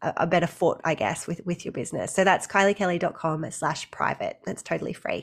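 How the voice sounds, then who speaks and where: In an Australian accent, a woman speaks at a fairly quick pace. Her pitch is fairly low. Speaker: maternity leave coach. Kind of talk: casual interview chat.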